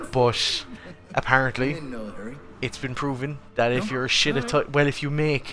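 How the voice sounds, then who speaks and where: Noticeable background noise sits behind a man speaking at a moderate pace. His medium-pitched voice keeps a fairly even intonation. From Ireland, Cork City. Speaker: game streamer. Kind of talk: casual chat.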